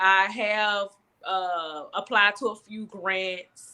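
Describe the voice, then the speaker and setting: The speaker is a woman. Her tone is bright and sharp. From US South, Alabama. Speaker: business owner, cosmetics entrepreneur. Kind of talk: interview. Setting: live stream. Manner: stumbles on words.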